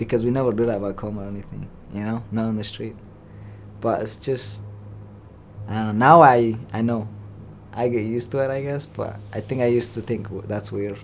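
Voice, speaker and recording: A man with a medium-pitched voice and fairly even intonation talks at a fairly quick pace with long, frequent pauses, with audible room echo. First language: non-English. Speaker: resettled refugee youth in foster care. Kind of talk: interview answers. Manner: halting.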